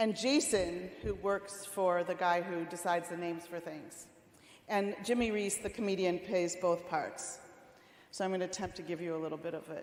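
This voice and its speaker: Speaking with an American accent, the voice carries audible room echo. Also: woman, medium pitch for a woman, ordinary pitch variation, moderate pace. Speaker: rabbi. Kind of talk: sermon.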